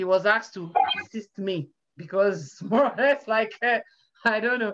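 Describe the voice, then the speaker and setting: The speaker is a woman who takes a fairly slow pace. Noticeable background noise can be heard throughout. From Nigeria. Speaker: data scientist; interview guest. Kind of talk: interview. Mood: warm, smiling. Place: home room. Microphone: video call.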